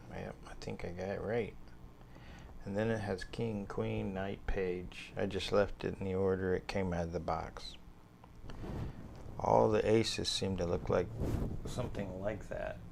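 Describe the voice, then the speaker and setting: The speaker is soft-spoken, with ordinary pitch variation. Delivery is fairly slow, with long, frequent pauses. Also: man, very deep, low pitch for a man. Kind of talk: casual show-and-tell to camera. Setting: home recording, lapel mic, some handling noise.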